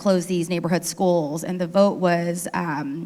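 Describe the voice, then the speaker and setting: A woman with a plain, everyday voice in an American accent, medium in pitch, fairly even in intonation and fairly quick in pace. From South Sacramento, California. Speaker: city council member on a panel. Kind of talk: panel discussion.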